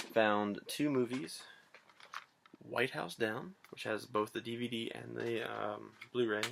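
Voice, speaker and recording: Quiet and raspy, a man puts on a character voice of medium pitch. He speaks at a fairly slow pace. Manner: talking quietly.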